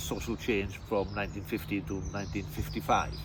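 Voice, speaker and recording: A man speaks with a strong Welsh accent. His pace is fairly quick. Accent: deep Welsh. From West Wales, near Cardigan. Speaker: tour guide and teacher. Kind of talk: interview. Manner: halting, with many fillers.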